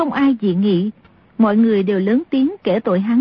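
The clip is plain reading aloud.

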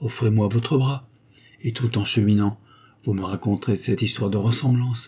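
A passage of plain reading aloud

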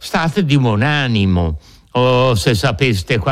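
Lively, varied intonation in plain reading aloud

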